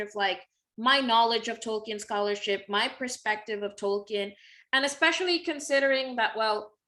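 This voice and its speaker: With a Spanish accent, a woman speaks in a bright, sharp tone at a fairly high pitch with ordinary pitch variation, on a very clean recording with a silent background. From Mexico. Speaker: literature scholar. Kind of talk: interview conversation.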